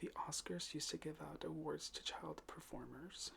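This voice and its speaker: Soft-spoken, at a moderate pace. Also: man. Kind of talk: ASMR fact reading for sleep.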